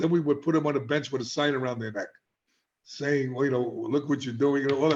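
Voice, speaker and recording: A man with a New York accent, fairly high in pitch, his intonation fairly even. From New York City (South Bronx). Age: 70s. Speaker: addiction treatment specialist. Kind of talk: interview. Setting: podcast.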